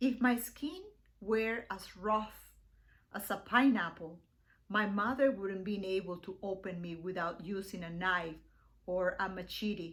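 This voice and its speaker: A woman with a Spanish accent, medium pitch, ordinary pitch variation and a fairly slow pace. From Venezuela. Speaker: poet. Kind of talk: poetry reading.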